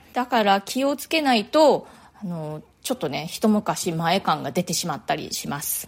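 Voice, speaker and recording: With very wide pitch swings, a woman speaks in a relaxed tone. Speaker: fashion designer and podcast host. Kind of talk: solo podcast monologue. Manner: chatty, relaxed.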